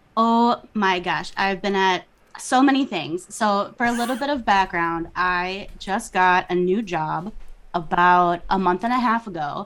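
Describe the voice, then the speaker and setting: A woman speaks with a Minnesota accent. Her pitch varies in an ordinary way. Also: medium pitch for a woman, fairly slow pace. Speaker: podcast guest.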